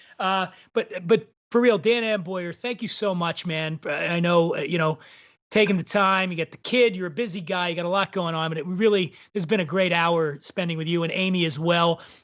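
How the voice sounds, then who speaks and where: A man talks at a high pitch with an American accent. His pace is moderate and his pitch variation ordinary. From Philadelphia, US. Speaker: show host. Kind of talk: casual chat. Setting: remote live stream. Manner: animated.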